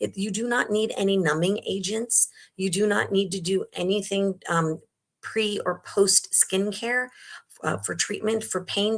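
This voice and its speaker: A woman talks at a medium pitch. Her voice carries vocal fry. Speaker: acne treatment provider. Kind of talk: webinar Q&A. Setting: online webinar. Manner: fast.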